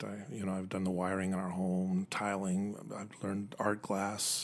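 A man speaks in a very deep, low pitch with an American accent. His intonation is monotone and flat. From Utah, Utah County (Provo/Orem). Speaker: retired Air Force officer. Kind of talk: casual interview.

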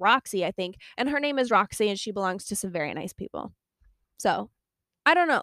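A woman's voice at a moderate pace with very wide pitch swings, in a very clean, dry, close recording with no echo and a silent background. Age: 20s. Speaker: podcast host and horse owner. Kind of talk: casual solo podcast chat. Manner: chatty, lots of fillers.

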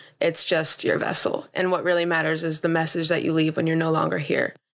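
Speaking very fast with an American accent, a woman uses a fairly low pitch, vocal fry and monotone, flat intonation. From Los Angeles, US. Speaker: model and health advocate. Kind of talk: interview. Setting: studio.

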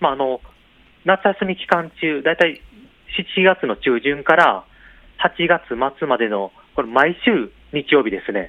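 A man's fairly high voice with very wide pitch swings and long, frequent pauses. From Wakayama, Tanabe. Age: 40s. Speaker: local government tourism official. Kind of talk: radio interview. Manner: hesitant, many fillers.

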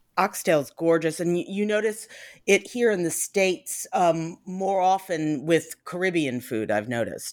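Here is a woman with an unremarkable speaking voice, fairly low in pitch, going at a fairly slow pace. The recording is very clean, with a silent background. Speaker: podcast host and food blogger. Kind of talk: casual interview.

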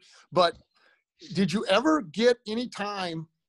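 An energetic voice with lively intonation speaks in an American accent. The sound is dry and close, with no echo. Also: man. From US Midwest, Iowa. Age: 60s. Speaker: high school basketball coach. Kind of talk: casual interview. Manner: fast talker.

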